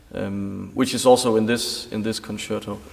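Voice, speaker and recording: This is a man speaking. He has a Danish accent. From Denmark. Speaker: concert pianist. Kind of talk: interview.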